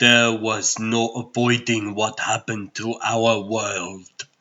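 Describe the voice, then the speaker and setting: Putting on a character voice, a man speaks very slowly in a solemn tone at a medium pitch. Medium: fan dub. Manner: solemn, measured.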